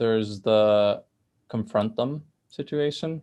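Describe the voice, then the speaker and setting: The surroundings are quiet. A man's voice sits at a medium pitch, its intonation fairly even. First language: Spanish. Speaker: STEM researcher, panel mentor. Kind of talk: panel discussion.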